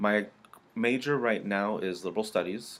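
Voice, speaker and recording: The pace here is moderate. It is a man talking with an American accent. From Southern California, Orange County. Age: 30s. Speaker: student, army veteran. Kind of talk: class introduction speech. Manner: hesitant, frequent fillers.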